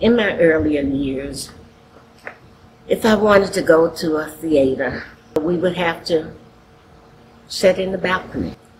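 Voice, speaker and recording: The speaker has an American accent and leaves long, frequent pauses. Background noise is noticeable. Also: fairly slow pace. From Charlottesville, Virginia, US South. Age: 70s. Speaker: faith leader. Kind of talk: testimony.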